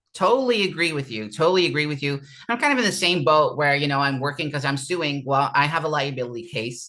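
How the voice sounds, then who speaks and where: Speech rushes along extremely quickly. Pauses are almost absent. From Netherlands. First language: Dutch. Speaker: interviewee, podcast host. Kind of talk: interview testimony.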